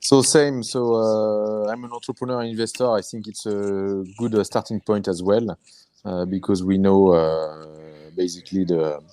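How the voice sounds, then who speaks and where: A man with a French accent speaks in a dark, mellow tone at a fairly low pitch. His pace is fairly slow, with ordinary pitch variation. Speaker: angel investor and entrepreneur. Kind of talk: webinar panel discussion. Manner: halting, many fillers.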